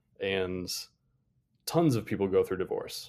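A man speaks at a moderate pace. The recording is very clean, the background silent. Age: 30s. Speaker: data and analytics leader at a tech company. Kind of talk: casual interview chat. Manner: calm.

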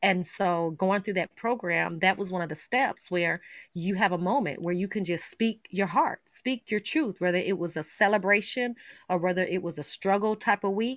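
A woman speaks with a normal speaking voice at a moderate pace and medium pitch. Her pitch varies in an ordinary way, and the background is quiet. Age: 40s. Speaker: author sharing personal story. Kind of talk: personal testimony in interview.

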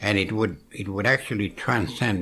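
Slowly, at a fairly low pitch, a man speaks in a bright, sharp tone. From Cape Breton, Nova Scotia, Canada. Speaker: Mi'kmaw elder. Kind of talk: elder telling life story and reflecting, conversational interview. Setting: at home kitchen table. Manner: slow, reflective, halting with fillers.

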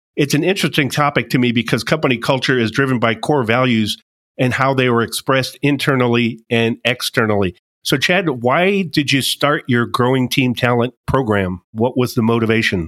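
A man in a normal speaking voice, with ordinary pitch variation and very even loudness, on a very clean recording with a silent background and a dry, close sound with no echo. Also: medium pitch for a man, moderate pace. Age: 50s. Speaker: podcast host and coach. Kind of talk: interview.

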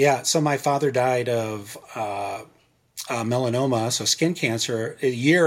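This man speaks at a medium pitch. His pitch varies in an ordinary way. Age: 40s. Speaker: banker. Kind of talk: casual chat. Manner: halting.

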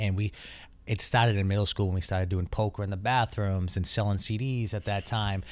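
Here is a man with a normal speaking voice, a fairly low pitch and an American accent. He talks at a moderate pace with fairly even intonation in a very clean recording with a silent background. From Taunton, Massachusetts. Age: 30s. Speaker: plumbing business owner and house flipper. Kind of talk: casual interview chat.

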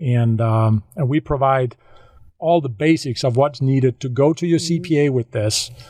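A man's dark, mellow tone at medium pitch, with a Danish accent, moderate pace, ordinary pitch variation and a quiet background. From Denmark, west coast. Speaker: solar business developer. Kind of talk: interview. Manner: halting.

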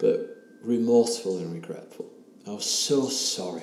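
A man speaks with an English accent. There is noticeable background noise. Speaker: ayahuasca retreat participant telling his story. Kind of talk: personal testimony, interview.

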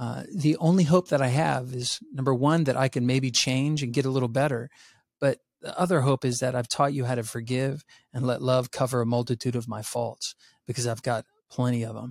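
A man with an American accent and a normal speaking voice talks at a fairly quick pace and medium pitch with fairly even intonation, in a dry, close, very clean recording with no echo and a silent background. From US South. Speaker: social psychologist and resilience educator. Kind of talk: interview conversation.

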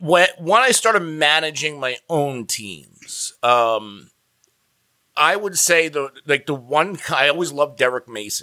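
An ordinary speaking voice from a man, fairly high in pitch, with lively intonation at a fairly slow pace, on a very clean recording with a silent background. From New Jersey. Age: 30s. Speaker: fantasy football analyst. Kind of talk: interview.

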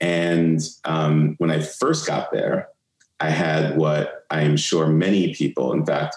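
Speaking in an American accent, a man has a very deep, low pitch. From New York (Brooklyn). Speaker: marketing executive and investor. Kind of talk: interview conversation.

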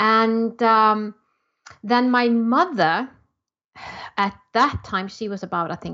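In an Icelandic accent, a woman speaks very slowly with long, frequent pauses, her fairly high pitch varying in an ordinary way and her tone bright and sharp, against a quiet background. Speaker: entrepreneur. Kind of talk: interview.

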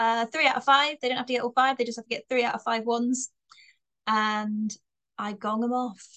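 A woman's high-pitched voice with a slight Bristolian accent, monotone, flat intonation and a fairly quick pace. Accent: slight Bristolian twang. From Bristol, England. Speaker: comedian. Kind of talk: casual chat. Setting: podcast interview.

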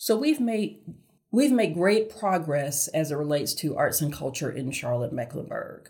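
With an American accent, the speaker sounds somewhat breathy, their pitch swinging very widely at a moderate pace. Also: woman, very deep, low pitch for a woman. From US South, Augusta, Georgia. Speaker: arts nonprofit executive. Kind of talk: interview.

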